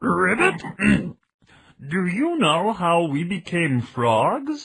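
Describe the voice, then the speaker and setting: A man's put-on character voice, croaky and high-pitched, at a very slow pace. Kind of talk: teacherly, explanatory.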